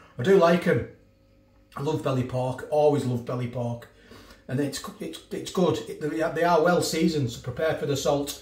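Moderate-paced male speech with audible room echo. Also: ordinary pitch variation, big swings in loudness. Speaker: food reviewer. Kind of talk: casual vlog chat. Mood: upbeat, friendly. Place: kitchen. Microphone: phone near.

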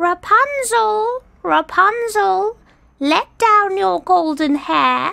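A put-on character voice, female-sounding and extremely high-pitched, at a very slow pace. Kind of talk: storybook character voice. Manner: angry, menacing.

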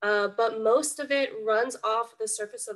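A woman talks fairly slowly, and the background is quiet. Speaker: environmental education coordinator; environmental educator. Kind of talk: webinar presentation. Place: home room. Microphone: webcam.

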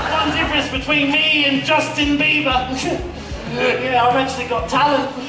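Clear music plays in the background, and audible room echo surrounds the voice. A man uses a raised, projected voice at an extremely high pitch with fairly even intonation. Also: moderate pace. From Australia. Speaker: comedy juggler. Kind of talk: live stage comedy show with audience banter. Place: stage.

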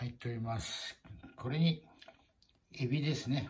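The speaker talks at a fairly slow pace, somewhat breathy. Pitch varies in an ordinary way. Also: man. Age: old. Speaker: cooking vlogger. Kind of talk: casual cooking video chat. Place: kitchen. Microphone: phone near.

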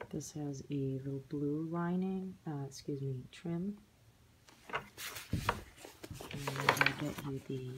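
Over loud background noise, a woman talks at a very slow pace with a very deep, low pitch and fairly even intonation. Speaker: handbag reseller. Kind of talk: casual product show-and-tell vlog. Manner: whispered. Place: home room. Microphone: phone near.

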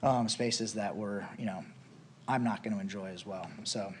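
Speech at a moderate pace carries audible room echo. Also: man. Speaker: business owner applicant. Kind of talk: council presentation. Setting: city council meeting. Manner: hesitant, many fillers.

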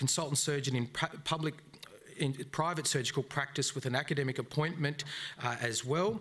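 A man with an Australian accent talks at a fairly quick pace in a fairly high pitch, his tone bright and sharp and his intonation fairly even. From Brisbane, Australia. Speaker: debate moderator. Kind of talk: live debate moderation. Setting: stage with audience. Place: hall. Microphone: podium.

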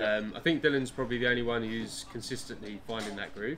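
Light background noise beneath a man speaking. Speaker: guest. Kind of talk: interview answer. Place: cafe. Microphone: phone near.

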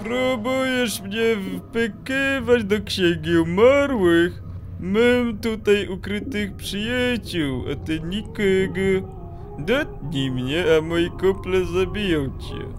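A man in a put-on character voice at a very slow pace, over loud music in the background. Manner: furious, hissing.

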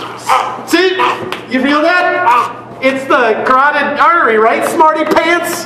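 The pace is very slow. Light background noise and audible room echo can be heard. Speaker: professional wrestler. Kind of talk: comedic sketch, casual explanation. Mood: playful teasing. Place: hall. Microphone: camera far.

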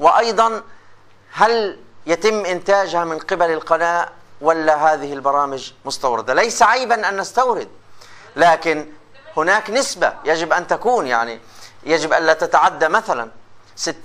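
A man's high-pitched voice, bright and sharp in tone, with lively intonation. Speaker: lecturer in radio and TV journalism. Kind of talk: lecture. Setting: classroom with students. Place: classroom.

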